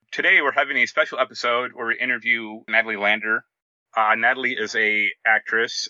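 A man's normal speaking voice, medium in pitch, fairly quick, with fairly even intonation. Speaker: podcast host. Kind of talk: casual interview chat.

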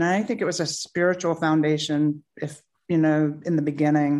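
Against a quiet background, a woman with a plain, everyday voice and a fairly low pitch speaks at a moderate pace with an American accent. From US South, North Carolina. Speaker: author and entrepreneur. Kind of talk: interview conversation. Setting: video call.

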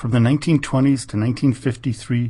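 A man speaks at a medium pitch. His voice is somewhat breathy with a dark, mellow tone. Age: 50s. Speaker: history podcast host. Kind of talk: scripted narration.

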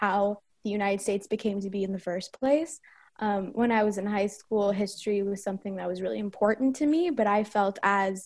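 In an American accent, a woman speaks at a moderate pace and medium pitch with an unremarkable speaking voice. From Northern California. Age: 20s. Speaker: activist, public affairs associate. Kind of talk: group interview.

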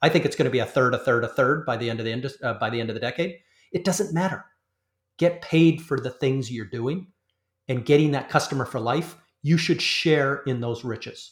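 Somewhat breathy and fairly high in pitch, a man with a Canadian accent talks at a fairly quick pace with ordinary pitch variation. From Canada. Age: 40s. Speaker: industry analyst. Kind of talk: interview.

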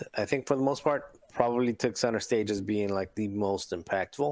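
An unremarkable speaking voice from a man, fairly low in pitch with ordinary pitch variation, at a moderate pace in a very clean recording with a silent background. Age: 40s. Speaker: tabletop game player. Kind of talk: casual chat.

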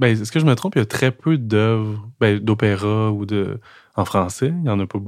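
On a very clean recording with a silent background, a man speaks in a Quebec accent. His voice is fairly low, at a moderate pace with ordinary pitch variation. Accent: Québécois French. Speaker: podcast host. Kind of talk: casual chat. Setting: in a café. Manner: calm, measured.

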